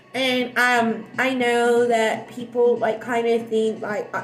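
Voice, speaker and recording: A woman with a fairly high voice speaks in a room with audible echo and noticeable background noise. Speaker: livestreamer. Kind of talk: casual livestream chat. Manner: fast; loud.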